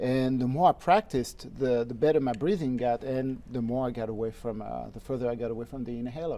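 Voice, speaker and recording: Over noticeable background noise, a man with a slight French accent talks fairly quickly at medium pitch with ordinary variation, hardly pausing at all. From France, Normandy. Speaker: harmonica player. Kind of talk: interview. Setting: studio.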